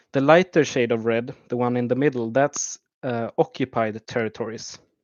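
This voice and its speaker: A man speaks with a Swedish accent at a moderate pace. His pitch sits in the medium range. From Sweden. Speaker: YouTube map analyst. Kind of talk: livestream commentary. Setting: livestream. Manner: halting, many fillers.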